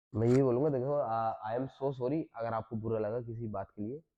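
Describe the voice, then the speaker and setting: With a medium pitch, a man talks using ordinary pitch variation. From Western Uttar Pradesh. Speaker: social media comedian. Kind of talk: casual podcast guest talk.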